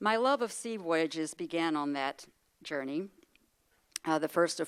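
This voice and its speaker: A woman's fairly low voice with ordinary pitch variation, on a very clean recording with a silent background. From Texas. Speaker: retired language professor. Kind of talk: speech. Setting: luncheon audience. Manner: formal.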